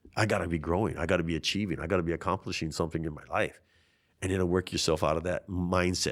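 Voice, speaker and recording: A man with a very deep, low pitch and a Hawaiian accent, in a very clean recording with a silent background. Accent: Hawaii local English. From Hawaii, Waianae (Oahu West Side). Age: 50s. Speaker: congressional candidate. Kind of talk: interview. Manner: animated.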